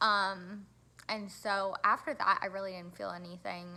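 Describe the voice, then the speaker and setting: At a fairly slow pace, a woman speaks at medium pitch with a bright, sharp tone. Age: adult. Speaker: vlogger. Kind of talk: casual vlog talk. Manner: hesitant, many fillers.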